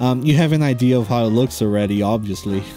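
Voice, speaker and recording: The speech moves at a moderate pace over music in the background. The sound is dry, with no echo. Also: man. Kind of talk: casual vlog chat over drawing process.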